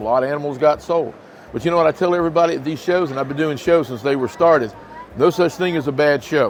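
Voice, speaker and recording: A man with a fairly high pitch talks at a very fast pace against noticeable background noise. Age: 60s. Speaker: reptile breeder and business owner. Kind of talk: interview. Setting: reptile expo. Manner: animated.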